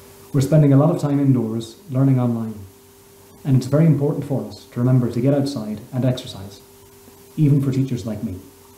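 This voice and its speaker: A man at a very fast pace with fairly even intonation, amid audible room echo. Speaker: primary school teacher. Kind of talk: promotional message to camera. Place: home room. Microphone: webcam.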